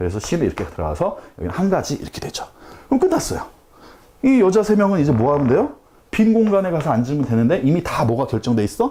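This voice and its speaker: Talking at a very fast pace, a man uses a high pitch with very wide swings. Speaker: math tutor. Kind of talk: lecture.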